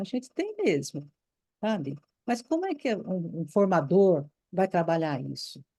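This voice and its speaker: Lively intonation runs through a dark, mellow tone as the speech unfolds at a fairly slow pace. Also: woman. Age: 70s. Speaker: retired Waldorf teacher, course participant. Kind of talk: impassioned comment in group discussion. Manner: animated, emphatic; halting, repeats words.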